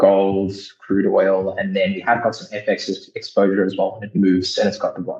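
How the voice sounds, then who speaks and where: A man talks at a fairly quick pace. His loudness rises and falls in big swings. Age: 20s. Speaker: prop trading firm founder. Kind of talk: interview.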